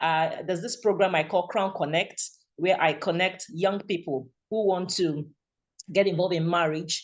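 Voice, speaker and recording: The speaker has a Nigerian accent. The pace is moderate. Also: quiet background. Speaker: radio presenter. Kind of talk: testimony. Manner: halting.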